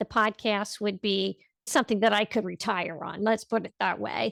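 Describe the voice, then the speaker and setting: A woman with an ordinary speaking voice, fairly high in pitch, with ordinary pitch variation and a fairly slow pace, in a very clean recording with a silent background and a dry, close sound with no echo. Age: 60s. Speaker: health coach and podcaster. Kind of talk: interview conversation.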